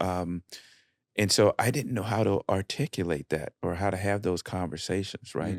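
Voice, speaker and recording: A fairly low-pitched man with a Southern US accent, in a dry, close sound with no echo and a very clean recording against a silent background. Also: ordinary pitch variation, moderate pace. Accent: Southern US (Georgia). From US South, south Georgia. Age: 60s. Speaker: father of the host, West Point graduate. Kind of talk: casual heartfelt conversation. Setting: podcast recording.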